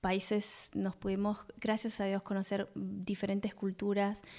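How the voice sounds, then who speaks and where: A woman speaks at a fairly slow pace and medium pitch in a plain, everyday voice. The recording is very clean, with a silent background. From Buenos Aires, Argentina. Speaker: podcast co-host. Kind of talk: casual chat between spouses.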